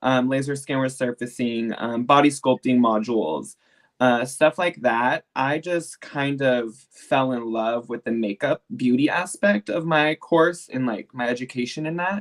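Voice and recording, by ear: The delivery is fairly slow, with ordinary pitch variation.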